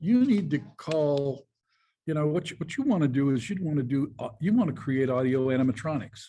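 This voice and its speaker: A dark, mellow tone, somewhat breathy, at a fairly quick pace. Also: man, fairly high pitch for a man. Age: 70s. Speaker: founder and chairman of a design company. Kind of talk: interview.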